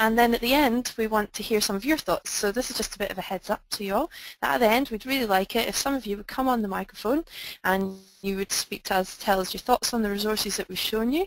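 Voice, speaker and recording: A woman with a Scottish accent talks at a very fast pace. Her fairly high pitch moves with ordinary variation. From Scotland. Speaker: webinar presenter. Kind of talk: online webinar presentation. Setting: online webinar.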